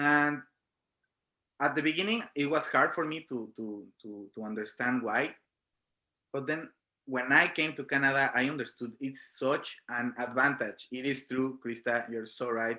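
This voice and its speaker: On a very clean recording with a silent background, a man with a strong Mexican accent speaks fairly slowly at medium pitch, using a bright, sharp tone and ordinary pitch variation. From Mexico. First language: Spanish. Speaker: film student. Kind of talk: panel discussion.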